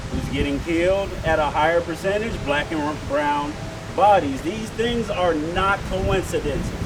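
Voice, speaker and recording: With audible room echo and noticeable background noise, a man speaks at a fairly slow pace, his high pitch showing ordinary variation. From Detroit, Michigan, US. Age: 30s. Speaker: activist rally speaker. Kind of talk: rally speech.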